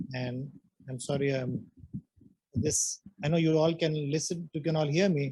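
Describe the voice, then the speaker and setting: A man speaks softly at a moderate pace, his tone dark, mellow and somewhat breathy. His pitch varies in an ordinary way. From India, Punjab. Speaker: neuroscience professor. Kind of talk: lecture. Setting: lecture hall with online audience. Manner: soft-spoken; halting, many fillers.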